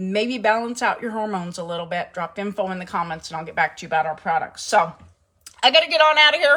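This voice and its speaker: A woman speaks in a fairly high, bright, sharp voice with an animated tone. Her pitch swings very widely. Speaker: home cooking livestream host. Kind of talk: casual livestream chat. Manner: loud.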